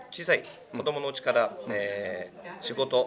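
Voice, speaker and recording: Moderate tempo from a male speaker, noticeable noise in the background. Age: 40s. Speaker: business association former chairman. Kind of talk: casual chat. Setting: recording at a hot spring facility.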